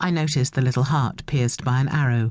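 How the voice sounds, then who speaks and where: At a moderate pace and against a quiet background, a woman speaks with a very deep, low pitch, ordinary pitch variation and a dark, mellow tone. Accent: British. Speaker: audiobook narrator. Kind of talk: dramatic first-person audiobook narration. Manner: expressive, shifting tone to voice the dialogue, wry and rueful; animated, with self-correcting asides.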